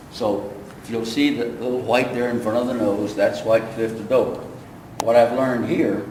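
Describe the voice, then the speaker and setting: A man's voice at medium pitch, with fairly even intonation and a moderate pace, over noticeable background noise. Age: 80s+. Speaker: WWII veteran museum guide. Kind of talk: oral history talk to camera. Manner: hesitant, halting.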